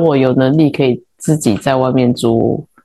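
A woman with a Taiwanese accent speaks in a dark, mellow tone. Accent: Taiwanese Mandarin. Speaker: podcast co-host, interior designer. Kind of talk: casual chat.

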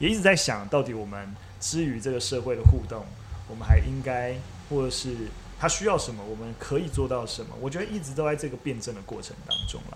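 This man speaks at a fairly quick pace. Audible room echo surrounds his voice. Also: big swings in loudness. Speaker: media company CEO, former history teacher. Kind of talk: casual chat over tea. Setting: teahouse room.

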